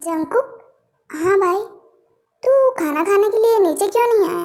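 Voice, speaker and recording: A put-on character voice, extremely high in pitch, moves at a moderate pace. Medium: read story. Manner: firm, lecturing.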